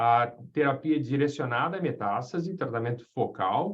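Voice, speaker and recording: A man's somewhat breathy, fairly high voice moves at a moderate speed, its pitch varying in an ordinary way. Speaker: radiation oncologist lecturer. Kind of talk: lecture. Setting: webinar video call. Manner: halting, many fillers; informal.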